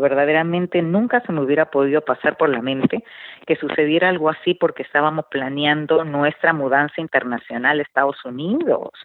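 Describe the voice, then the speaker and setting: Talking at a fairly quick pace, a woman uses a very deep, low pitch with ordinary variation. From Peru (Lima). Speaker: radio and TV host, author, marriage counselor. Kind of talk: interview testimony.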